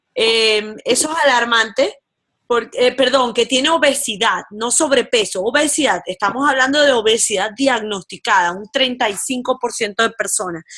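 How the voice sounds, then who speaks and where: Her tone is bright and sharp, with a high pitch for a woman. She speaks at a fairly slow pace with ordinary pitch variation. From Venezuela. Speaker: physician specializing in public health and obesity. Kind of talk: expert interview on radio.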